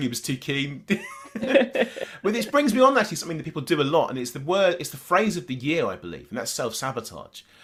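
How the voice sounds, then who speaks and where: In an English accent, the speaker races along at a very fast pace with lively intonation through noticeable background noise. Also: man. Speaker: dating coach and podcast host. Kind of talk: casual interview chat.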